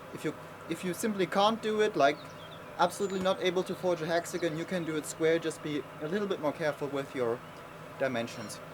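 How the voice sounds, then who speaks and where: Very fast speech with a non-native accent and ordinary pitch variation, set against noticeable background noise. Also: man, high pitch for a man. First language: not English. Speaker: blacksmith. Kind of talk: tutorial. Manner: casual with fillers.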